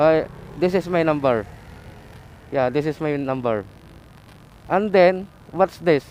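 A man with a fairly high pitch speaks at a very slow pace. His speech is broken by long, frequent pauses. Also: ordinary pitch variation. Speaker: delivery rider motovlogger. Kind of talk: vlog narration.

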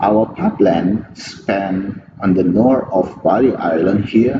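A man with an Indonesian accent, fairly low pitch, very slow pace, and noticeable background noise. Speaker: pipeline engineer. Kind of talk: conference presentation. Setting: remote recorded talk. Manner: halting.

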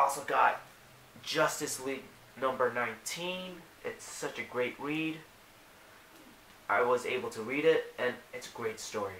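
Fairly slow speech with long, frequent pauses, big swings in loudness, audible room echo and light background noise. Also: man, fairly high pitch for a man, ordinary pitch variation. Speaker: toy and comic reviewer. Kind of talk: casual talk to camera. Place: home room. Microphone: webcam.

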